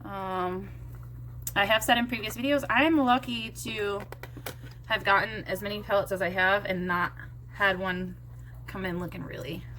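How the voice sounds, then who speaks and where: A woman speaks quietly at a moderate pace, leaving long, frequent pauses. Noticeable background noise is present. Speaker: beauty vlogger. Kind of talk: casual makeup tutorial chat. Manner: quiet, subdued.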